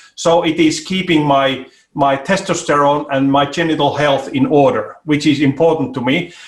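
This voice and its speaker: A fairly high-pitched man at very even loudness, with noticeable background noise. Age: 60s. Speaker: ergonomics expert and inventor. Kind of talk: interview. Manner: halting.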